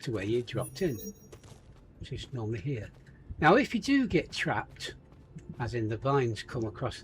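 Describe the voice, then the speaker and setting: A man with an English accent and very wide pitch swings. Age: 70s. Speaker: gaming YouTuber. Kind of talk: gameplay commentary. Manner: casual, chatty.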